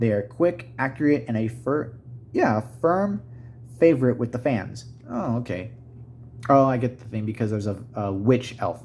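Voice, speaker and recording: The speaker mumbles somewhat breathily in a dark, mellow tone, at a moderate pace with ordinary pitch variation. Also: man. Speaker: tabletop gaming YouTuber. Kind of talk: unboxing video, casual solo talk. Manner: mumbling; halting, self-correcting.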